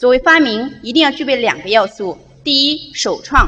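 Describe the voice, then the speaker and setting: Her high voice makes very wide pitch swings. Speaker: lecture host. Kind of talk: formal host introduction. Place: hall. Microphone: podium.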